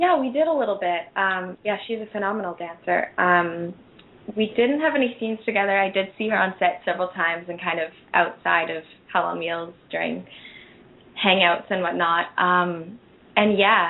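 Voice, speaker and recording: In a Canadian accent, a woman with an ordinary speaking voice talks at a moderate pace, her medium pitch showing ordinary variation. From Calgary, western Canada. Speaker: actress. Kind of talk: interview.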